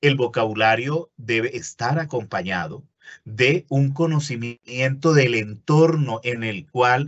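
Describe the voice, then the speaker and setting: Over a quiet background, a man talks at a very slow pace with ordinary pitch variation and a somewhat breathy voice. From Colombia, Caribbean coast. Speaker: university lecturer. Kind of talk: webinar lecture. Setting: online webinar. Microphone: webcam.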